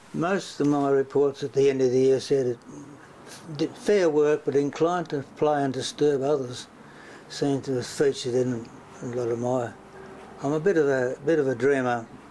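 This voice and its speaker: A man with an Australian accent speaks at a moderate pace with a fairly high pitch, fairly even intonation and long, frequent pauses. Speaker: former state politician. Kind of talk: interview answer.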